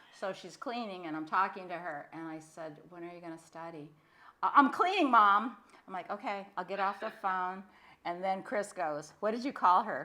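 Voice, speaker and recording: This woman talks at a moderate pace and a medium pitch, with ordinary pitch variation. Her bright, sharp tone comes with big swings in loudness. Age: 70s. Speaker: podcast co-host. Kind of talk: casual chat.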